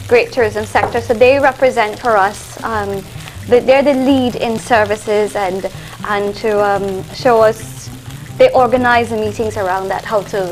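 Over faint background music, a woman speaks at a moderate pace with ordinary pitch variation. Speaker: guest. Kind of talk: interview answer. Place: studio.

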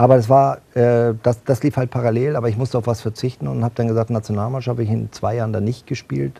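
A man talks at a very fast pace with ordinary pitch variation. His tone is dark and mellow, and somewhat breathy. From northern Germany, Bad Schwartau near Lübeck; northern Germany. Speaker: football club executive and former handball player; talk show guest. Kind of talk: TV talk show interview. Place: studio. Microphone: lapel.

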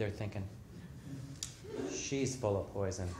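Noticeable background noise sits behind a man who speaks at a moderate pace with lively intonation. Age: 50s. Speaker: author. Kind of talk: storytelling performance. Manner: animated. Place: stage.

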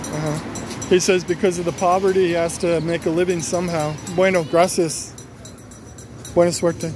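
The speech moves at a moderate pace, with a dry sound with no echo and noticeable background noise. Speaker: documentary interviewer. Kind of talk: interview questions and translation. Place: street. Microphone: phone near.

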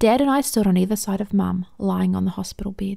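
A woman with a New Zealand accent talks at a fairly quick pace in a somewhat breathy voice with a dark, mellow tone. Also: very clean recording, silent background. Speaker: amateur audiobook narrator. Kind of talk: audiobook reading of a short story.

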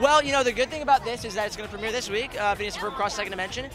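Clear music plays behind a man raising and projecting his voice. The sound is dry with no echo, and his pitch varies in an ordinary way. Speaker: voice actor at premiere. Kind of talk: interview answer. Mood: upbeat, friendly. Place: street. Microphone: handheld.

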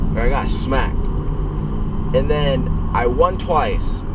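A man talks at a fairly slow pace amid loud background noise, with a dry sound and no echo. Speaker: vlogger. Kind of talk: casual vlog chat. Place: car. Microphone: phone near.

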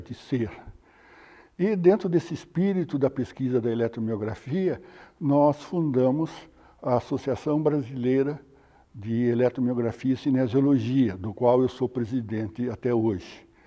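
At a fairly slow pace, a man speaks with a dark, mellow tone, medium pitch and ordinary pitch variation. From Brazil, São Paulo state (Rio Claro). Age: 70s. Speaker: anatomy professor. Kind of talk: interview testimony.

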